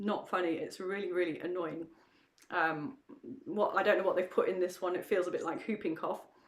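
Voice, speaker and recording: At a fairly quick pace, a woman talks in a medium pitch over noticeable background noise. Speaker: podcast co-host. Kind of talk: casual chat. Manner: halting.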